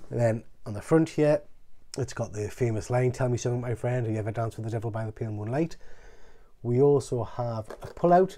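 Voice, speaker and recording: The pace is fairly quick. The tone comes across dark and mellow. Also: man. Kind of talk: casual unboxing commentary. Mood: excited, admiring. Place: home room. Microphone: phone near.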